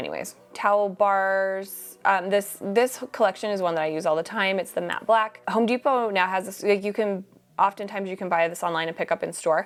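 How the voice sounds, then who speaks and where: A woman at medium pitch with ordinary pitch variation and a very fast pace. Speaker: interior design vlogger. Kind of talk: product roundup vlog. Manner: animated.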